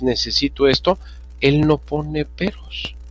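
A man talks while music plays in the background. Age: 80s+. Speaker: political commentator, former banker. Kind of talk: panel discussion.

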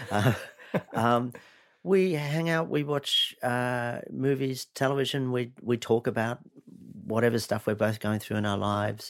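Ordinary pitch variation marks this speech. It moves at a fairly slow pace. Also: man, medium pitch for a man. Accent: Australian. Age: 50s. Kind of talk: interview.

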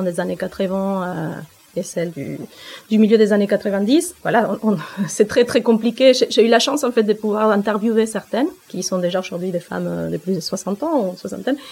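A woman speaks in a Spanish accent at medium pitch. Her pace is moderate, with ordinary pitch variation. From Argentina. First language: Spanish (speaking French). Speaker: author, rap researcher. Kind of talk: interview conversation.

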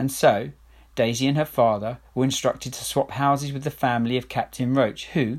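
Fairly even intonation in plain reading aloud

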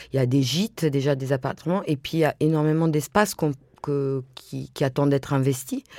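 Speaking at a fairly quick pace, a woman has a very deep, low pitch, a dark, mellow tone and fairly even intonation. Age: 50s. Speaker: interviewee. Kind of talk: interview. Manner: halting.

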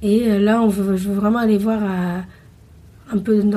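This woman's voice sits at a medium pitch, somewhat breathy, with a dark, mellow tone. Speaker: returning expat cyclist. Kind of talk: interview.

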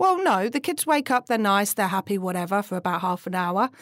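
In a British accent, a woman talks with lively intonation at a medium pitch, on a very clean recording with a silent background. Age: 30s. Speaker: podcast host and businesswoman. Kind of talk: stand-up style comedic rant, relatable confessional humour. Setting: office, recorded live. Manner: self-mocking, laughs at own jokes.

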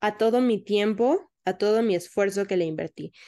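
A woman is speaking. The background is quiet. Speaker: podcast co-host. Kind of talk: casual chat.

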